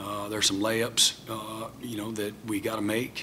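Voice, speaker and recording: Over light background noise, a man talks in a fairly low, monotone voice with flat intonation. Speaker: head football coach. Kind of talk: press conference answer. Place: hall. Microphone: podium.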